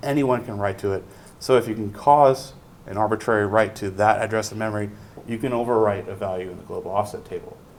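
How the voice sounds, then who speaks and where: A man with a fairly low pitch talks very fast, his intonation fairly even and his loudness swinging widely, with audible room echo and noticeable background noise. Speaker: university lecturer. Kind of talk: lecture. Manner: many fillers (um, uh).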